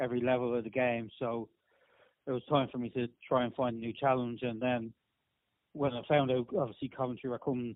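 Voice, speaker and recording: An Irish-accented man with monotone, flat intonation. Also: medium pitch for a man, fairly quick pace. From Ireland, Dublin. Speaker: rugby league team manager. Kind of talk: podcast interview.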